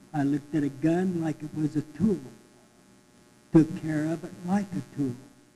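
A man's fairly high voice with a dark, mellow tone, at a moderate pace, with fairly even intonation and long, frequent pauses. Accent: rural Western US. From Cortez, Colorado. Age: 80s+. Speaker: city council candidate, Navy veteran. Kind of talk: candidate forum statement.

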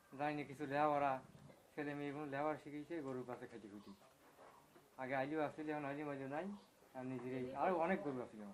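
This is an unremarkable speaking voice from a man with a fairly high pitch. His pitch varies in an ordinary way. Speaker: dairy farmer. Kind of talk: interview.

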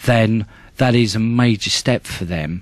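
A man talks at a fairly slow pace in an ordinary speaking voice, with ordinary pitch variation. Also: quiet background. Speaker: charity chairman. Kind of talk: radio interview.

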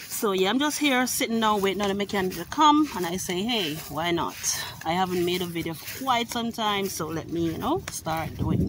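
Amid loud background noise, a woman keeps a moderate pace. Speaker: vlogger. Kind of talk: casual vlog chat. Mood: relaxed, a bit weary. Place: garden. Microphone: phone near.

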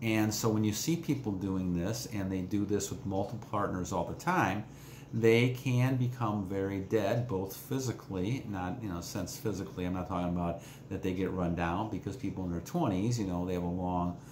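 In a room with audible echo and light background noise, a man with a fairly low pitch talks at a moderate pace with ordinary pitch variation. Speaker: self-help vlogger. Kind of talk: casual vlog chat. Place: home room. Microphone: phone near.

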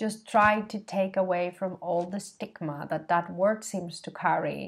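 The background is quiet. A woman speaks at a medium pitch and a very slow pace. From Spain. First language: Spanish. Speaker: feminist shop co-founder; vlogger. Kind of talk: vlog monologue to camera. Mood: reflective, earnest. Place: home room. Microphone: webcam.

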